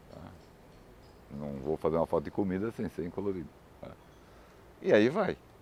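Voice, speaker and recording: With a dark, mellow tone and very deep, low pitch, a man talks at a very fast pace with lively intonation. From Brazil, Florianópolis. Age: 60s. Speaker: photojournalist. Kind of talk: interview.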